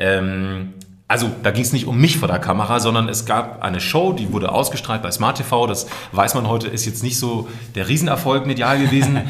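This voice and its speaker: Over noticeable background noise, the speech keeps a moderate pace with ordinary pitch variation. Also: man, medium pitch for a man. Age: 30s. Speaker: voice artist and video creator. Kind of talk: casual interview chat. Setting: studio.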